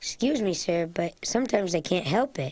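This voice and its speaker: A raspy, cartoonish character voice, female-sounding, at a middle pitch. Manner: earnest, gentle.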